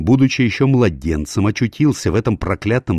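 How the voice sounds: The natural reading voice carries lively intonation throughout.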